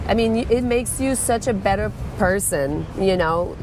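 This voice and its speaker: A woman's fairly slow speech with noticeable background noise. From Quebec, French Canada. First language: French. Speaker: former volleyball coach and CrossFit coach. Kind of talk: casual interview.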